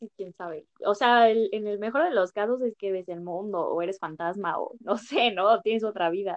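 This woman has a normal speaking voice at a medium pitch. Her pitch varies in an ordinary way, and her pace is moderate. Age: 20s. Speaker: podcast host. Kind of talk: casual chat.

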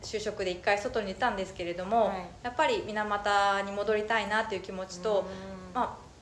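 Over audible room echo, a woman moves at a fairly quick pace with medium pitch and fairly even intonation. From Minamata, Kumamoto, Japan. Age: 30s. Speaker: organic citrus farmer. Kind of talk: interview. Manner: many fillers (えー、えっと).

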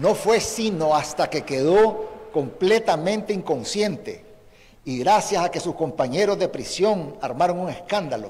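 A man with a high pitch talks at a fairly slow pace, his loudness swinging widely. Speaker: former guerrilla commander and opposition politician. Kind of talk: prepared eulogy statement. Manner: formal.

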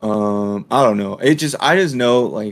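A plain, everyday voice from a man at fairly low pitch, with ordinary pitch variation and a fairly slow pace. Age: 20s. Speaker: law student and podcast co-host. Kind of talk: casual chat.

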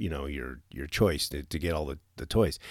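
Against a silent background in a very clean recording, a man speaks at a fairly slow pace with vocal fry. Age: 50s. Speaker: podcast host, military retiree. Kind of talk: solo podcast monologue. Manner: halting, many fillers and repeats.

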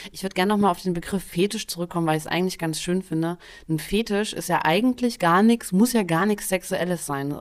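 Fairly quick and fairly low-pitched, a woman talks in a plain, everyday voice with ordinary pitch variation on a very clean recording with a silent background. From Saxony, eastern Germany (Dresden). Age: 30s. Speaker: podcast host. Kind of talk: casual chat.

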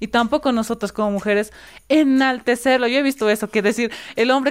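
A woman speaks at a high pitch and a fairly quick pace. The recording is very clean, with a silent background. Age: 20s. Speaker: youth activist. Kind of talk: interview.

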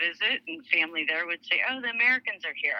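Against noticeable background noise, a woman speaks with lively intonation in a dry, close sound with no echo. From Saudi Arabia (American compound, Dhahran). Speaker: in-house lawyer. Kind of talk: interview, life story.

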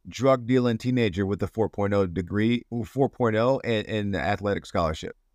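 A man with a normal speaking voice talks at medium pitch with ordinary pitch variation, recorded very clean against a silent background, dry and close with no echo. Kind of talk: casual interview chat.

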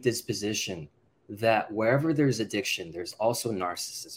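Medium pitch, ordinary pitch variation and a plain, everyday voice from a man. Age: 30s. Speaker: professor and consumer researcher. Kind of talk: interview.

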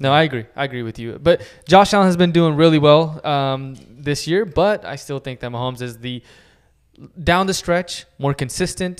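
This man has a fairly high pitch and an unremarkable speaking voice, talking at a moderate pace with big swings in loudness. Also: ordinary pitch variation. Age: 30s. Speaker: sports podcast co-host. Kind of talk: casual chat.

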